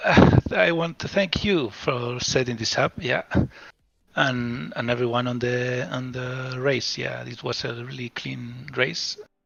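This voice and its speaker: Speaking very slowly with a non-native accent, a man uses medium pitch and ordinary pitch variation. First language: not English. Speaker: sim racing driver. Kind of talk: post-race interview. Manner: halting.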